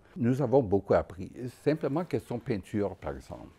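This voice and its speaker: His tone is dark and mellow with vocal fry, and this man's pitch swings very widely. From Quebec, Trois-Rivières area; Quebec. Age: 80s+. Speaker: Dominican friar and painter. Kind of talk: personal reminiscence interview. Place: workshop.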